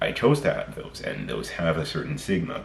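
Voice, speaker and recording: A man talks at a moderate pace. Room echo is audible and background noise is noticeable. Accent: American. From mixed: America, Trinidad and England. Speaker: vlogger. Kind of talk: casual monologue vlog. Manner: unscripted, halting with self-corrections.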